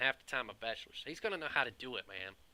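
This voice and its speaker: A bright, sharp tone with a Southern US accent. The pace is very fast. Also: man. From US South. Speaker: IT professional and video creator. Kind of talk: casual opinion monologue. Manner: animated, conversational.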